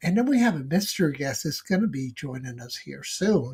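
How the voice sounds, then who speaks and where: A somewhat breathy male voice with lively intonation, at a moderate pace. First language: Spanish. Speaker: live stream host. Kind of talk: casual chat.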